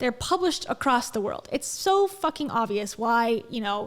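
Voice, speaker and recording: Loud and at a moderate pace, a woman speaks with very wide pitch swings. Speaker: commentary streamer. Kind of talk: reaction commentary. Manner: animated.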